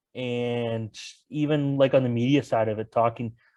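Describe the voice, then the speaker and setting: Here a man with a Canadian accent has a dark, mellow tone, a medium pitch and fairly even intonation. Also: quiet background. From Ontario, Canada. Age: 20s. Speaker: sports reporter. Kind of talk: casual interview chat.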